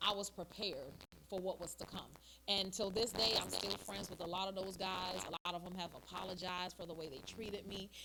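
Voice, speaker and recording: Talking at a fairly quick pace, a woman with a medium pitch has a bright, sharp tone, vocal fry and fairly even intonation. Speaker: soca singer, army veteran. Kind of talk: interview.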